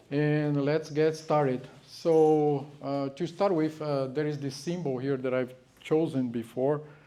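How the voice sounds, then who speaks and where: Very slow, fairly high male speech with a Brazilian Portuguese accent, a dark, mellow tone and fairly even intonation. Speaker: guest speaker. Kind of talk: lecture. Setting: talk to a live audience in a house. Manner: halting, many fillers.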